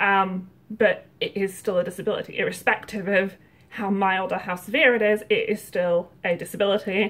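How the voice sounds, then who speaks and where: A woman speaks at medium pitch and a moderate pace. Her intonation stays fairly even. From Yorkshire, England. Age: 30s. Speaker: YouTuber. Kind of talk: casual vlog monologue.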